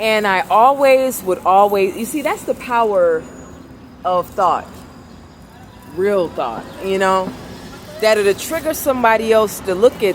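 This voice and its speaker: A loud woman with a fairly high pitch speaks at a fairly slow pace with lively intonation over noticeable background noise. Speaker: vlogger. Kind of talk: casual vlog monologue. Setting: outdoors in the city. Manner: soft-spoken; trying to talk louder.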